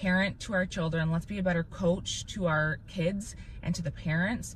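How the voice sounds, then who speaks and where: At a moderate pace, a woman talks in an animated tone with a fairly low pitch. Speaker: parent podcast host. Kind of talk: casual chat. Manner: loud.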